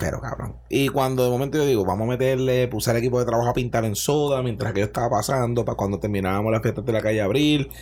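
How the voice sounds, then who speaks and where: Over noticeable background noise, a man with a Puerto Rican accent talks at a very fast pace with hardly any pauses. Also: medium pitch for a man, ordinary pitch variation. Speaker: chef and podcast host. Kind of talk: casual chat. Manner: animated.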